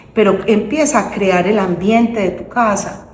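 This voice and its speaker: Someone talks in an animated tone over noticeable background noise. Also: woman. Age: 60s. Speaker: guest speaker on faith and women's empowerment. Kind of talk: interview conversation, faith testimony.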